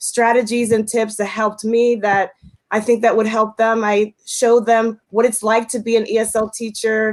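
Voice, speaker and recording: At a moderate pace, a woman with a fairly high pitch speaks with an American accent. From United States, Puerto Rican family. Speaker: ESL teacher and YouTuber. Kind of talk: livestream panel introduction.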